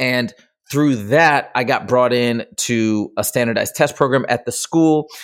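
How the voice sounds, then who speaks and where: An ordinary speaking voice from a man with an American accent, medium in pitch, fairly slow, with ordinary pitch variation, on a very clean recording with a silent background. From Michigan. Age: 40s. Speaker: tutoring business founder. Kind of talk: casual interview.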